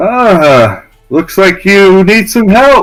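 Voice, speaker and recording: A man shouting in a high-pitched, put-on character voice over music in the background. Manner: yelling.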